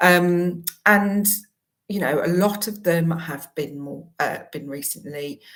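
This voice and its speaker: Audible room echo surrounds a woman speaking at a fairly low pitch with ordinary pitch variation. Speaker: career coach. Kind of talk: promotional talk to camera.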